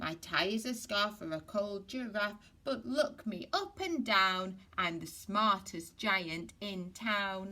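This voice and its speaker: A woman's put-on character voice, sing-song and cheerful, at a medium pitch and a fairly slow pace. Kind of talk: bedtime story. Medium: read story. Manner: cheerful, singsong.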